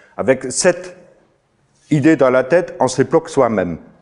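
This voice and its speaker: Intonation is lively as a man talks. Behind him, things are quiet. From outside France. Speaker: farmer and trainer. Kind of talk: lecture. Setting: stage with audience. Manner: halting. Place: meeting room.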